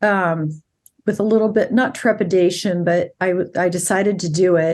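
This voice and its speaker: Pitch varies in an ordinary way, and the pace is moderate. Nothing sounds in the quiet background. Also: woman. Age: 60s. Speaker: family law attorney. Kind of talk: interview conversation. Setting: podcast interview.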